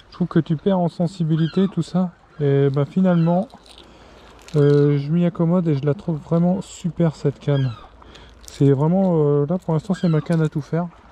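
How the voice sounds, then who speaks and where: With noticeable background noise around a dry, close sound free of echo, a man with a fairly high pitch speaks at a moderate pace in a fairly even tone, stopping often for long pauses. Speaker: fishing vlogger. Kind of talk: casual vlog narration. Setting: outdoors on the seashore. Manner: casual, hesitant with fillers; soft-spoken.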